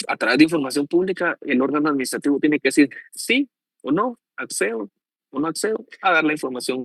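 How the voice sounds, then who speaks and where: An ordinary speaking voice from a man, fairly high in pitch and fairly quick, with lively intonation and a dry, close sound with no echo. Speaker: law professor. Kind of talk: lecture. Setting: online class.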